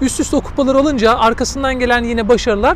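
Words come out at a very fast pace, with noticeable background noise present. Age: 40s. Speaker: sports journalist. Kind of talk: casual chat.

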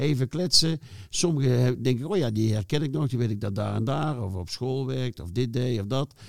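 Speaking at medium pitch with ordinary pitch variation, a man keeps a moderate pace in an unremarkable speaking voice. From North Brabant, Netherlands (Schijndel, near Den Bosch). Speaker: former football club staff. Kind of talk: casual interview.

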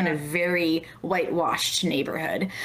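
At a moderate pace, a woman speaks against noticeable background noise. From Baltimore. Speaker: podcast host. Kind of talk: casual interview.

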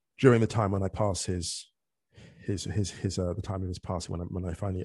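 A man talks very fast in a very deep, low voice that is dark, mellow, and somewhat breathy, with fairly even intonation. The sound is dry and close with no echo, over a quiet background. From England. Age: 40s. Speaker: author and football podcaster. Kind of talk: casual chat. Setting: remote call.

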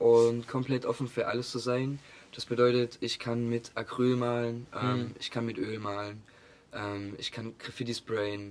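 A man at a medium pitch and fairly slow pace, flat and monotone, with noticeable background noise. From Saxony, near Chemnitz (Augustusburg). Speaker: art student and painter. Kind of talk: casual interview.

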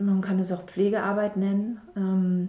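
Background noise is noticeable. Over it, a woman talks. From southern Baden-Württemberg. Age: 30s. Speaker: mother of four, local resident. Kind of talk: podcast interview. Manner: hesitant, many fillers.

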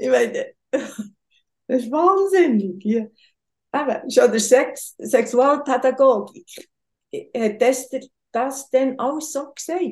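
A woman's high voice, very slow, with lively intonation. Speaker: tantra massage practitioner. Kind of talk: casual interview.

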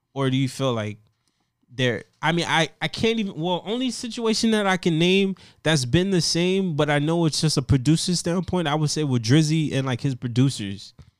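A plain, everyday voice from a man, fairly high in pitch, with lively intonation at a moderate pace on a very clean recording with a silent background. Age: 20s. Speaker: music podcast host. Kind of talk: casual chat.

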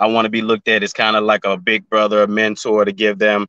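A fairly low-pitched man with a Southern US accent and a bright, sharp tone, at a moderate pace with fairly even intonation, in dry, close sound with no echo and a quiet background. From Memphis, Tennessee. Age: 20s. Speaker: YouTuber and musician. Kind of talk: casual chat.

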